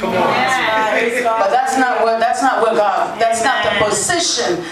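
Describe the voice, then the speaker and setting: Loud background noise and audible room echo surround a woman speaking at a fairly slow pace. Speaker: church pastor. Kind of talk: live sermon to a congregation. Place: church.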